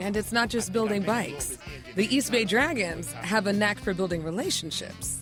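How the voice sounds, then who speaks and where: The talking proceeds at a moderate pace. Behind it, music is playing. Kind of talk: TV news feature narration.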